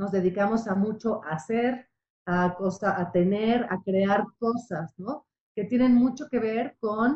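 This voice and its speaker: Speaking at a very slow pace, a woman has a somewhat breathy, fairly high-pitched voice with ordinary pitch variation. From Mexico, Puebla. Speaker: psychotherapist. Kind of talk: radio interview.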